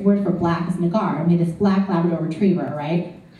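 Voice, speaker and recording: A woman talks at a very fast pace. Audible room echo surrounds her voice. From US West Coast, Orange County. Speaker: comedian. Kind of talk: stand-up. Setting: stage with audience.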